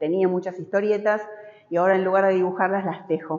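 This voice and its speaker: A woman speaks with a Rioplatense accent. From Argentina. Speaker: textile artist. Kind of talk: interview about her artwork in a gallery. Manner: halting, frequent fillers. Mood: warm, nostalgic. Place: hall. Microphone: lapel.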